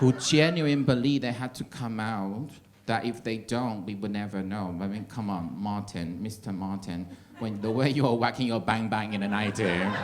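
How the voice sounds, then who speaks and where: A man with an American accent, a fairly low pitch and ordinary pitch variation, at a moderate pace with audible room echo. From Taiwan. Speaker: stand-up comedian. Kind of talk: stand-up. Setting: stage with audience.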